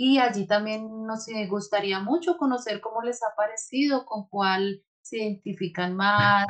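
Ordinary pitch variation and a moderate tempo in a woman's fairly high-pitched voice. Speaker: mindfulness facilitator and meditation guide. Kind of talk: casual interview chat.

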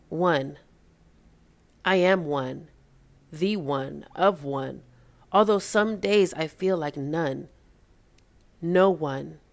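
With long, frequent pauses, a woman speaks very slowly at a fairly low pitch. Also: ordinary pitch variation. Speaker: spoken word poet. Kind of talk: spoken word poetry. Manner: rhythmic, emotive, reflective.

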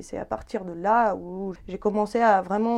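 A woman speaking at a very slow pace. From Ukraine, Dnipro. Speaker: painter. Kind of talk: interview. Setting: artist's studio. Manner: hesitant.

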